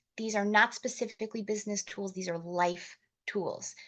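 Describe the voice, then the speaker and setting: In a normal speaking voice, a woman talks at a medium pitch and a moderate pace, with fairly even intonation against a quiet background. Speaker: motivational speaker and network marketing trainer. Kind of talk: training talk.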